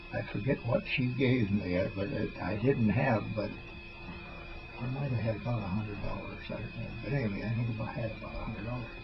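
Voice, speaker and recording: A man at medium pitch and a fairly quick pace, with music in the background. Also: ordinary pitch variation. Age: 80s+. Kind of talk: casual family storytelling. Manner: rambling, hesitant.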